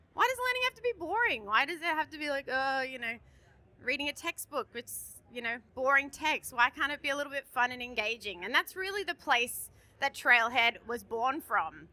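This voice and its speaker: A woman with an Australian accent and a raised, projected voice, high in pitch, bright and sharp in tone, animated, with lively intonation at a moderate pace, in a dry, close sound with no echo. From Australia, Sydney. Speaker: conference presenter. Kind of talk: conference presentation. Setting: stage with audience. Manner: loud.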